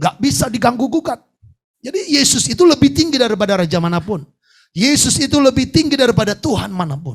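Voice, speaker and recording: In an animated tone, a man speaks very fast at an extremely high pitch with very wide pitch swings. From Indonesia, North Sumatra (Batak). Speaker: pastor. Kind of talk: sermon.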